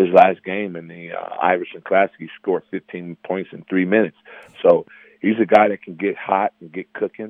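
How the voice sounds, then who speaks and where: A man at a moderate pace with big swings in loudness. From Chicago. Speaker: college basketball assistant coach. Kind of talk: radio phone interview. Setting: phone call. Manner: halting, many repeated words.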